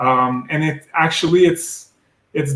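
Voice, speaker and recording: A somewhat breathy man with a French-Canadian accent, at a fairly slow pace. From Quebec. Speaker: medical device sales rep. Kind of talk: interview. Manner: hesitant, many fillers.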